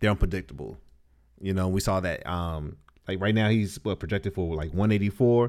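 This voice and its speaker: A man with a very deep, low pitch and ordinary pitch variation speaks at a moderate pace. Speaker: podcast co-host. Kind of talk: casual chat.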